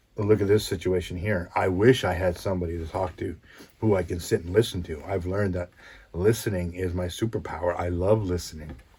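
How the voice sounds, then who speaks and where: In a very clean recording with a silent background, a man with a very deep, low pitch and a dark, mellow, somewhat breathy tone speaks at a fairly quick pace with fairly even intonation. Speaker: podcast host, motivational speaker. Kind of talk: solo podcast monologue. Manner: calm, even.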